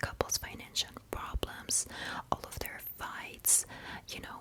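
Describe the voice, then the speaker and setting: A woman whispers at a fairly slow pace. There is noticeable background noise. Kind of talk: ASMR movie recap storytelling. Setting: home ASMR microphone recording. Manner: whispered, soft-spoken.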